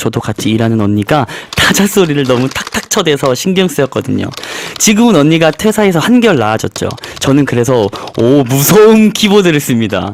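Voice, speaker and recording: A man talks at a fairly quick pace with a fairly high pitch and very wide pitch swings. Noticeable background noise sits behind him. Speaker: singer, radio guest. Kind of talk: reading listener messages on radio.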